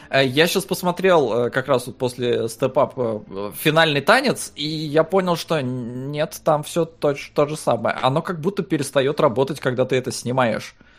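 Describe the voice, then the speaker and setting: An ordinary speaking voice belongs to a man with fairly high pitch and ordinary pitch variation. He goes at a fairly slow pace with hardly any pauses. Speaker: podcast co-host. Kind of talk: casual chat.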